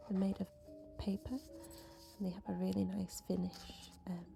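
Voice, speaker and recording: A woman talks at a fairly slow pace with music in the background. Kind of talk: casual ASMR voiceover. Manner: soft-spoken.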